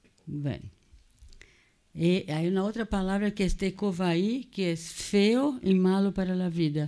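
A woman in a Brazilian accent with a dark, mellow tone, ordinary pitch variation and a moderate pace, over a quiet background. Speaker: psychoanalyst and cultural critic; seminar lecturer. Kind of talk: lecture. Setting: museum auditorium with audience. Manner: code-switching between Portuguese and Spanish. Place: classroom. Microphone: podium.

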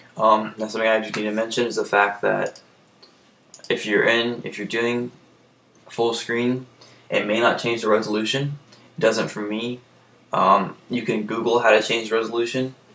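Speaking at a moderate pace with long, frequent pauses, a man with a medium pitch keeps a monotone, flat intonation against noticeable background noise. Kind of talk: casual screen-recorded software tutorial. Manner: hesitant, many fillers.

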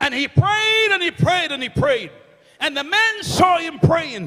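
A man with an extremely high pitch and a bright, sharp tone, at a slow pace.

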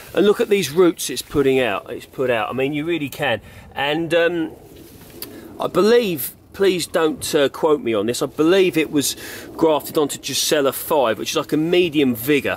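A man's fairly high voice with an English accent and lively intonation, over light background noise. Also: moderate pace, dry sound with no echo. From England. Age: 30s. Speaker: allotment gardener and video maker. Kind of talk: gardening tutorial. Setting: polytunnel on allotment, filmed on camera. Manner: casual, with fillers and repetitions.

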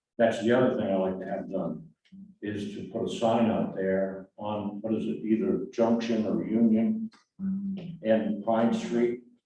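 The fairly slow pace of this speech comes with audible room echo. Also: man, medium pitch for a man, ordinary pitch variation. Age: 80s+. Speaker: resident speaking at public comment. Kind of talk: public comment at city meeting. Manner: halting, with fillers.

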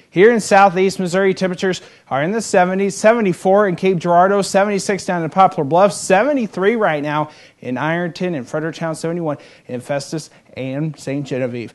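Against a quiet background, a man speaks at a high pitch with ordinary pitch variation. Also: moderate pace. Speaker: weather forecaster. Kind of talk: TV weather forecast. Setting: studio. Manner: upbeat, conversational. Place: studio.

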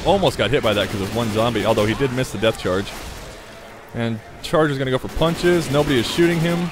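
Over noticeable background noise, a man with a medium pitch talks at a very fast pace with lively intonation. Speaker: gaming YouTuber. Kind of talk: gameplay commentary. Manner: casual, conversational.

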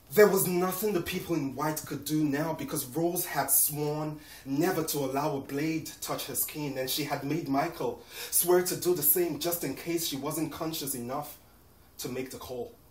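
Audible room echo surrounds a man who speaks at a moderate pace with a fairly high pitch and fairly even intonation. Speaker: poet. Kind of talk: performed poem. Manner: solemn, measured, emotive. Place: home room. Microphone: camera far.

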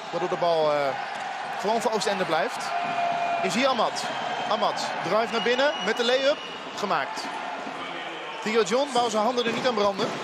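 The speech moves at a fairly slow pace, dry with no echo but surrounded by loud background noise. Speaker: sports commentator. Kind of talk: live commentary. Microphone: headset.

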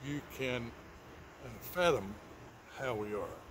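Speaking at a fairly slow pace, a man sounds relaxed and somewhat breathy, with ordinary pitch variation against noticeable background noise. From Texas. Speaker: channel host. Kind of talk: casual talk to camera. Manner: relaxed, hesitant, folksy. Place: garden. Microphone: phone near.

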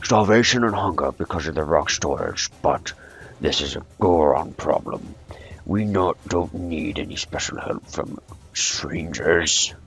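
A man uses a gruff, put-on character voice with a very deep, low pitch. He speaks at a fairly slow pace over faint music in the background. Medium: game stream. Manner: gruff, angry, then jolly.

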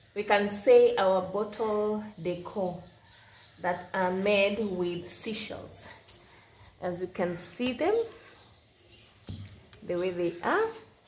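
A woman speaks at a very slow pace with long, frequent pauses, a somewhat breathy voice and fairly even intonation, with audible room echo and light background noise. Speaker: craft seller showing products. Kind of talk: product showcase narration. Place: home room. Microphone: phone near.

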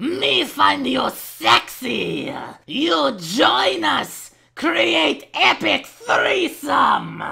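A raspy woman's voice moves at a very slow pace. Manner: loud, blunt, broken grammar.

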